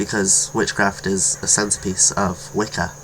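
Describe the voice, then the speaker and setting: A man talks with a fairly low pitch. Noticeable background noise runs underneath. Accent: British. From Britain. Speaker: video blogger on witchcraft. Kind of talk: casual vlog monologue. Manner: halting, with self-corrections.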